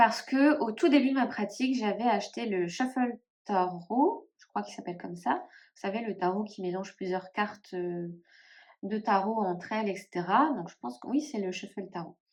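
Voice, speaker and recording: A woman speaks at a moderate pace in a medium pitch, her intonation lively. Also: big swings in loudness. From northern France (Nord, ch'ti region). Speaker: tarot YouTuber. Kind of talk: casual vlog, collection showcase. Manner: hesitant, many fillers.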